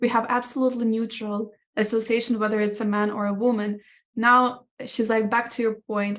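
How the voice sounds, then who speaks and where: The woman's intonation is monotone and flat. She talks at a fairly quick pace in a fairly high pitch. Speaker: podcast guest. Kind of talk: casual interview conversation. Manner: halting, many fillers and false starts.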